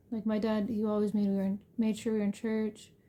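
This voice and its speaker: A soft-spoken woman's voice, dark and mellow in tone, fairly high-pitched and somewhat breathy. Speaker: homemaker sharing her faith testimony. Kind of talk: testimony. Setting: at home late at night. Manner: halting.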